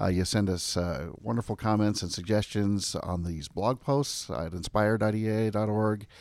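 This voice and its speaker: With a normal speaking voice, a man speaks at a fairly low pitch and moderate pace, with ordinary pitch variation and hardly any pauses. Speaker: podcast host and magazine editor. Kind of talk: casual chat, interview. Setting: studio.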